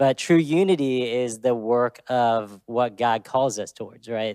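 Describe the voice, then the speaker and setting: Dark and mellow in tone, a man speaks with an American accent. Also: very clean recording, silent background. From Texas (Dallas). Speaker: church staff member. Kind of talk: panel discussion.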